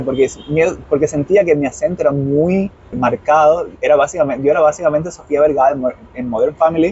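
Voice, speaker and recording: A man at fairly high pitch with ordinary pitch variation and a fairly quick pace, over noticeable background noise. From Cuba, Santiago de Cuba. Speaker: nonprofit worker. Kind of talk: interview. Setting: outdoors. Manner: fast.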